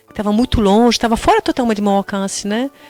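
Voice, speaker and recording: A woman talks at a fairly quick pace, the sound dry and close with no echo, over noticeable background noise. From Poland. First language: Polish (speaking Portuguese). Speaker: tour guide, interview guest. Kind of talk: radio interview.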